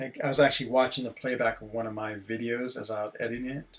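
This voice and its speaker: Noticeable background noise sits behind this clip. A man with an American accent talks at a fairly quick pace. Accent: sounds very American. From Switzerland (French-speaking) and US. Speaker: gaming streamer. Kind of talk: casual live-stream commentary. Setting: at home. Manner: animated.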